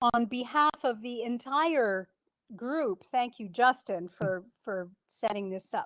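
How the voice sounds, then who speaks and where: Speaking at a very slow pace, a woman uses a high pitch and lively intonation, with big swings in loudness. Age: 60s. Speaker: beekeeper and speaker. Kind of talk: club talk, casual.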